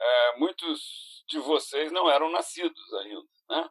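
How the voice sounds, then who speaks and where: With very wide pitch swings, a man speaks at a very slow pace. The recording is dry and close, without echo. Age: 60s. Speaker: productivity consultant and speaker. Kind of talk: interactive online lecture. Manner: halting, with many fillers and restarts.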